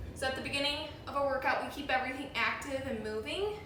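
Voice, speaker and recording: Through noticeable background noise and audible room echo, a woman talks at a fairly quick pace with a Midwestern accent. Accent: Midwest. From US Midwest, Chicago. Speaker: fitness instructor. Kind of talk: workout instruction. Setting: home.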